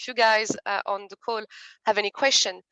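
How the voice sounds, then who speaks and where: A woman with a French accent speaks at a fairly quick pace and a fairly high pitch. Her tone is bright and sharp, her intonation fairly even. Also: dry, close sound with no echo. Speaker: committee co-leader. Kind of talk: event introduction.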